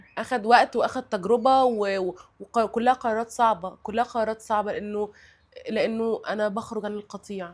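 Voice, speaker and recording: In a Cairo accent, a woman with a fairly high pitch speaks at a moderate pace with monotone, flat intonation. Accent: Egyptian Arabic (Cairo). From Egypt. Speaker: guest sharing life experience. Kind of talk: casual chat. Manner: halting, many repetitions and fillers.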